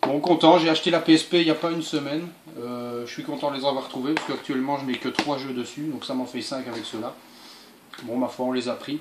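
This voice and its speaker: Against noticeable background noise, a man talks at a fairly quick pace with fairly even intonation. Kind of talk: casual vlog chat. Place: home room.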